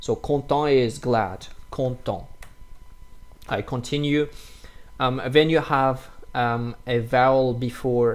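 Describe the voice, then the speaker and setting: A man with a non-native accent talks very slowly, with long, frequent pauses. His voice sits at a medium pitch with fairly even intonation. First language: French. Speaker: French teacher. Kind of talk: tutorial. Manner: halting.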